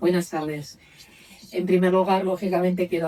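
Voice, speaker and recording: The voice belongs to a woman. It has a dark, mellow tone. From Galicia, Lugo. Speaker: trade union official. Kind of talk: panel talk.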